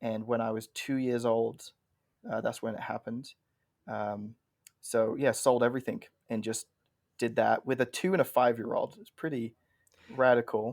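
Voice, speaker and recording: There are big swings in loudness as a man with an English accent talks at a moderate pace. He leaves long, frequent pauses. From England. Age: 30s. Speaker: pastor. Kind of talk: podcast interview.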